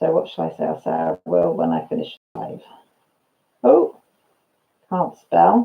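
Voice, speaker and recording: A woman with a slight Welsh accent at a fairly slow pace, with long, frequent pauses. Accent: slight Radnorshire Welsh twang. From Wales, Radnorshire. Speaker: live streamer. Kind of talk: casual chat. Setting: live stream.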